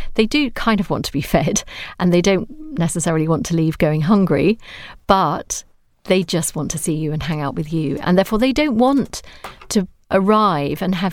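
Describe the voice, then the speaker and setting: A woman with a British accent speaks at a moderate pace and a fairly low pitch. The recording is very clean with a silent background. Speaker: psychotherapist. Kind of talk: casual chat.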